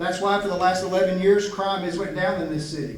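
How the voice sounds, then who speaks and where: Speaking at a high pitch with a slight Appalachian accent, a man is heard through noticeable background noise and audible room echo. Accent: slight Appalachian twang. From Southwest Virginia mountains. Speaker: police chief. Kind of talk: public speech. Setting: stage with audience. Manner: halting.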